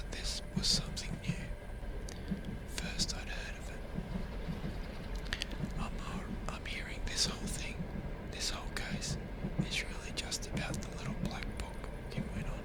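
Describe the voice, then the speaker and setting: A man whispering at a very slow pace amid noticeable background noise. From Australia. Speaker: ASMR sleep story narrator. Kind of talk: audiobook-style first-person narration of a crime story. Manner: soft-spoken, whispered.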